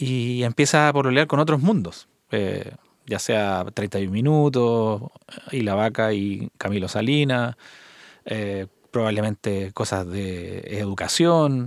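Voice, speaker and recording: A man with a Chilean accent at a very slow pace, medium pitch and ordinary pitch variation, in a very clean recording with a silent background. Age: 50s. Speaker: podcast host, mastering engineer. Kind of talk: interview.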